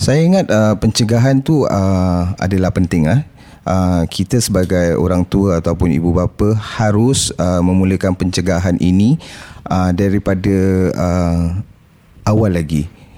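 A man's very deep, low voice at a fairly slow pace, with ordinary pitch variation and noticeable background noise. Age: 40s. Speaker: former drug addict, support group founder. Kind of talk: interview testimony. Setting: studio. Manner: halting, many fillers.

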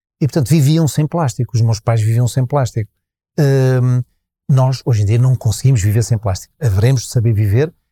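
A dark, mellow, somewhat breathy voice at a fairly quick pace, with ordinary pitch variation. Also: man. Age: 60s. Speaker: festival organizer and sustainability consultant. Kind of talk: interview. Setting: live at a festival. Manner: halting.

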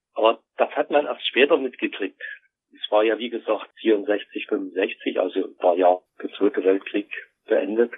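Big swings in loudness mark a man's fairly slow speech. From East Germany, Dresden. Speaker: interviewee, communist worker. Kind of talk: interview, personal story.

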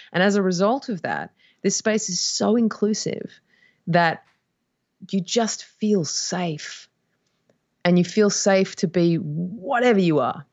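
With an Australian accent, a woman talks at a very slow pace and medium pitch, using ordinary pitch variation and long, frequent pauses. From Australia (Perth, Western Australia). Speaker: musician. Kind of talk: casual chat.

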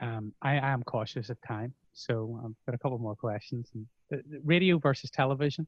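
Somewhat breathy and medium in pitch, a man with a Northern Irish accent speaks at a fairly quick pace with ordinary pitch variation. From Northern Ireland. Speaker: podcast host and broadcaster. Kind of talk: interview conversation.

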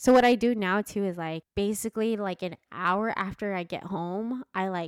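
An ordinary speaking voice at a moderate pace, with ordinary pitch variation. The sound is dry and close, with no echo. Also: woman. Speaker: podcast co-host. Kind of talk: casual chat.

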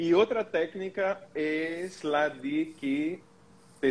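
A man speaks with a Portuguese accent. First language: Portuguese (speaking Spanish). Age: 40s. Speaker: holistic therapist. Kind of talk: live stream panel discussion.

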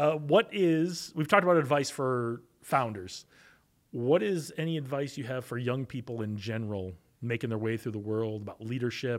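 Here is a man with a plain, everyday voice at medium pitch, talking at a moderate pace with lively intonation. The recording is very clean, with a silent background. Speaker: podcast host. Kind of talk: interview conversation.

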